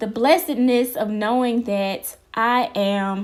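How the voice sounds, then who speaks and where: Pitch varies in an ordinary way on a very clean recording with a silent background. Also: woman. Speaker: podcast host. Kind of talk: inspirational podcast monologue.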